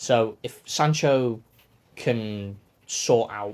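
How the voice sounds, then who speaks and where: A man's voice sits fairly low in pitch and shows ordinary pitch variation. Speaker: podcast co-host. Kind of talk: casual chat. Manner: soft-spoken.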